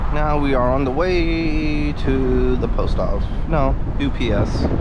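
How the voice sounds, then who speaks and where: Over noticeable background noise and audible room echo, a man talks at a fairly slow pace with very even loudness. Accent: American. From New York City. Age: 30s. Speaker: car vlogger. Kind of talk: casual vlog monologue. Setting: in a car. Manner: relaxed, with many fillers.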